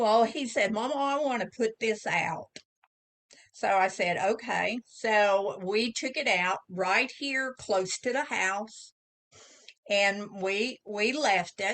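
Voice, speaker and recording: A fairly high-pitched woman with an Oklahoma accent, very slow in pace, with ordinary pitch variation. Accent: Oklahoma Southern US. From Southeast Oklahoma. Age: 70s. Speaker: author. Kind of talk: casual interview storytelling.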